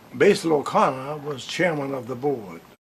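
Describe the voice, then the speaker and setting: A man's fairly high pitch with ordinary pitch variation amid noticeable background noise. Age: 80s+. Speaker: retired hospital administrator. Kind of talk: interview answer.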